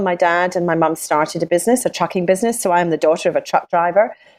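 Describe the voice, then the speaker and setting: A speaker with a Scottish accent talks with ordinary pitch variation in a dry, close sound that has no echo. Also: woman. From Scotland. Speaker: business coach. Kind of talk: interview.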